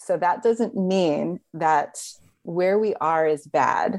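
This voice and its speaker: A woman with an American accent has an unremarkable speaking voice at a fairly low pitch. Her pitch varies in an ordinary way against a quiet background. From Texas, Houston suburbs. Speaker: energy healer and yoga teacher. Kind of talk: interview conversation.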